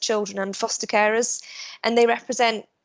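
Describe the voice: A woman's voice with vocal fry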